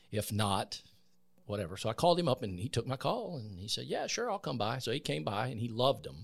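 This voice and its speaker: With vocal fry and an American accent, a man of medium pitch talks very fast with very wide pitch swings on a very clean recording with a silent background. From US South, Columbus, Georgia area. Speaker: veteran and former news director. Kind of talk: interview. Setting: podcast studio.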